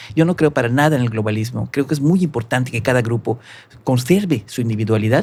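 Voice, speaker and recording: Speaking at a very fast pace with a Yucatecan accent, a man uses a medium pitch, ordinary pitch variation and a somewhat breathy voice. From Mexico, Yucatán (Mérida). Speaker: musician and arranger. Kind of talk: podcast interview.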